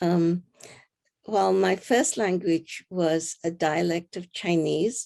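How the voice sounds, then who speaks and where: A woman speaks at a very slow pace with a dark, mellow tone. Her pitch is fairly low and her intonation fairly even. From Singapore. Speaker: technology pioneer. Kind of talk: interview. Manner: halting, many fillers.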